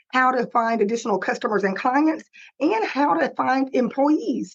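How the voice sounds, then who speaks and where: A woman speaks with a Texan accent. Her pitch swings very widely. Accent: Texas country twang. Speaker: digital marketing consultant. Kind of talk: webinar presentation. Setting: live webinar, screen sharing.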